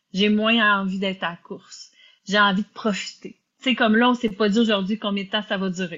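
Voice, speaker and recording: Here is a woman with a normal speaking voice. Her pitch is medium and her intonation fairly even. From Quebec. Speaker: podcast host, business and life coach. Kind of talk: casual interview.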